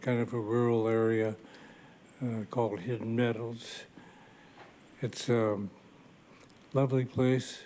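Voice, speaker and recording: Speaking at a very slow pace, a man keeps a monotone, flat intonation. His tone is dark and mellow. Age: 90s. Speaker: war veteran. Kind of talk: brief acceptance remarks. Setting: public board meeting. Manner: hesitant, with fillers.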